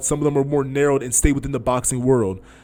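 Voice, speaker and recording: A man's fairly high voice at a very fast pace, with fairly even intonation. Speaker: amateur boxer and podcast host. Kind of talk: casual advice talk.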